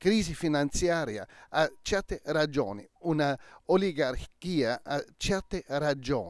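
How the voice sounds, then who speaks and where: The speaker is a man. The sound is dry with no echo, over a quiet background. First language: German (speaking Italian). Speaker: crime novelist; interviewee. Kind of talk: interview; interview answer. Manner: halting. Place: garden. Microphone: handheld.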